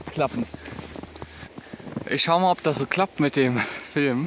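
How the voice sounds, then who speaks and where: A man at a moderate pace with ordinary pitch variation, dry sound with no echo and noticeable background noise. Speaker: travel vlogger. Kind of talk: casual vlog chat. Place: open country. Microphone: phone near.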